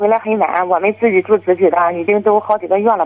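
A woman's fairly high voice at a very fast pace. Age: 30s. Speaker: caller, furniture shop owner. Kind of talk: phone-in confession.

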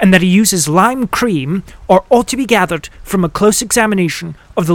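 Simple, plain reading aloud

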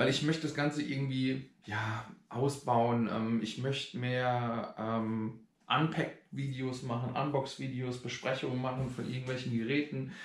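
A man speaks at a medium pitch and a fairly slow pace. His intonation stays fairly even, with audible room echo. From Germany, Rhein-Neckar area (Schwetzingen). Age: 40s. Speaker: vlogger. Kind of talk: casual vlog. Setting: outdoors. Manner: hesitant, many filler sounds.

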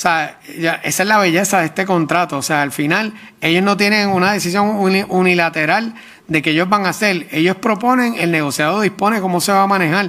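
Raised and projected, a man's high voice comes across bright and sharp, with very even loudness. He speaks at a fairly quick pace with ordinary pitch variation. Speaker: government official. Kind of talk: testimony at public hearing. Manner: halting.

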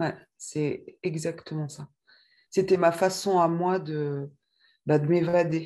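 Very slow pace, long and frequent pauses, and monotone, flat intonation from a woman with a dark, mellow tone and fairly low pitch. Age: 40s. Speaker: testimony guest, mother. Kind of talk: testimony. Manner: halting.

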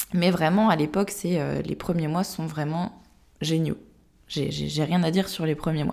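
Fairly low and fairly slow, a woman speaks with vocal fry and fairly even intonation. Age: 20s. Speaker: sophrologist and podcast host sharing her own story. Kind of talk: personal testimony.

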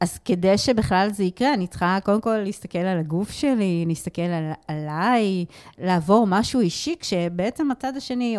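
Pitched in the middle range, this woman's voice varies in pitch about as much as usual. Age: 50s. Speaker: emotional therapist and communication lecturer. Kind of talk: interview. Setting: studio.

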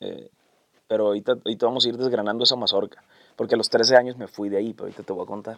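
At a very fast pace, a man delivers his words in a flat monotone at medium pitch, his loudness swinging widely. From Sinaloa, Mexico (Guamúchil area). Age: 30s. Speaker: singer-songwriter. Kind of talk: casual interview.

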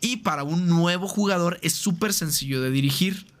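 A man with a Mexican accent speaks in a high pitch with ordinary pitch variation. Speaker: streamer and tabletop roleplaying gamer. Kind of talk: casual chat. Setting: call.

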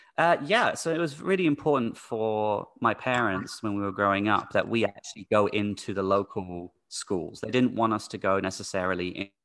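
With an American accent, a man speaks at a fairly quick pace in a fairly low voice with ordinary pitch variation. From UK-born, raised internationally. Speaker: teacher. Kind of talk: casual interview. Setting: remote call.

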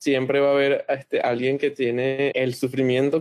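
A man with a fairly high pitch talks at a moderate pace in a dry, close sound with no echo. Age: 20s. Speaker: interview guest. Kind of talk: casual interview.

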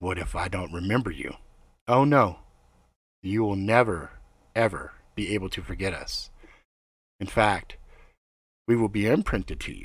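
In a put-on character voice, a man speaks raspy and fairly low at a moderate pace, leaving long, frequent pauses. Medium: read story. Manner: formal, calm, slightly ominous.

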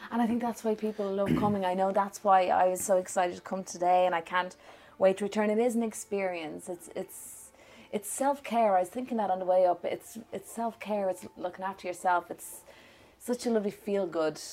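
A woman with an Irish accent talks at a fairly quick pace in a medium pitch. Her tone is dark and mellow, with fairly even intonation. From Ireland. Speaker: podcast host. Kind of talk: casual interview.

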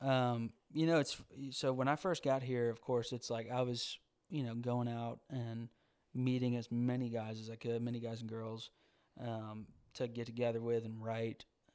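A man with a Southern US accent at medium pitch and moderate pace, monotone and flat in intonation, on a very clean recording with a silent background. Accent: Southern US (Georgia). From US South, Georgia. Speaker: singer-songwriter. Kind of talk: casual chat.

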